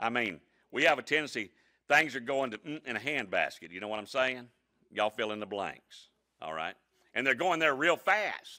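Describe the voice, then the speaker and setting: A man with an American accent, medium pitch and a bright, sharp tone, plus vocal fry, very wide pitch swings, big swings in loudness, a moderate pace and long, frequent pauses, all on a very clean recording with a silent background. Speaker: pastor. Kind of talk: sermon. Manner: animated.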